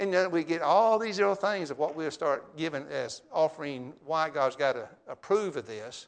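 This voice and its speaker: A man speaks in an ordinary speaking voice, fairly high in pitch for a man, with lively intonation. His pace is moderate and he hardly pauses. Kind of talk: sermon. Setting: church.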